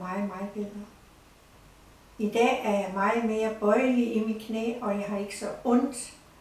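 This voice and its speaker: Fairly slow, flat, monotone speech from a woman at a fairly high pitch, with noticeable background noise and audible room echo. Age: 70s. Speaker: patient giving testimonial. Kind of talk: testimony.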